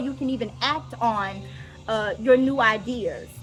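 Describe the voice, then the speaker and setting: With noticeable background noise behind her, a woman talks with ordinary pitch variation. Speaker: vlogger and mindset coaching student. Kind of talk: casual vlog with reading aloud. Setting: outdoors at the beach.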